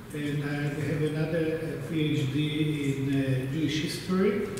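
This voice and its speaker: A male voice with strong room echo and noticeable background noise. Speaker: conference panelist. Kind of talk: lecture. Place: hall. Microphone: camera far.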